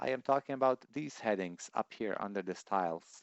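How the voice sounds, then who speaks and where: A man with a non-native accent, lively intonation and a moderate pace. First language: not English. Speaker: software tutorial youtuber. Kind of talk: tutorial.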